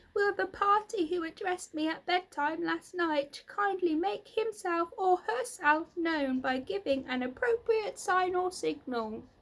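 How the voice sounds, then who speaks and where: A woman uses a put-on character voice at an extremely high pitch. She keeps a moderate pace with hardly any pauses. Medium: read story. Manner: eager, earnest.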